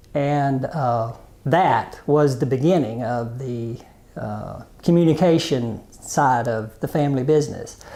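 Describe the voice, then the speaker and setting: A man with an Arkansas accent speaks at a medium pitch and a fairly slow pace, with ordinary pitch variation and noticeable background noise. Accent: Southern US (Arkansas). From US South, Arkansas (Prairie Grove). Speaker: interviewee, family telephone business. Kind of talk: oral history interview. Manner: hesitant, many fillers.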